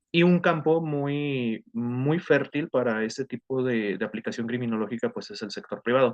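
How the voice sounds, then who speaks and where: A medium-pitched man speaks with ordinary pitch variation and hardly any pauses. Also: big swings in loudness. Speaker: criminologist and security consultant. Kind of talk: online lecture. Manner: fast; hesitant, many fillers.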